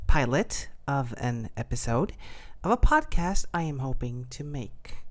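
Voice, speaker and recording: A woman is talking. Her pace is very slow. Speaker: podcaster. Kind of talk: casual improvised podcast talk. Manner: hesitant, rambling.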